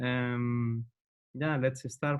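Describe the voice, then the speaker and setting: A man speaks with a Spanish accent. His pitch sits in the medium range. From Spain, Madrid. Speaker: agile coach and trainer. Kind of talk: webinar introduction. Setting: online webinar. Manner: hesitant, many fillers.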